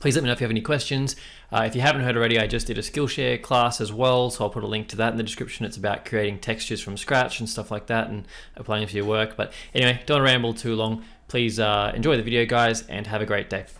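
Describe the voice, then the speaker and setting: Here a man of medium pitch talks very fast in an Australian accent. His intonation stays fairly even. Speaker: tattoo and lettering artist. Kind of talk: tutorial. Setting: live stream. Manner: casual, friendly. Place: home room.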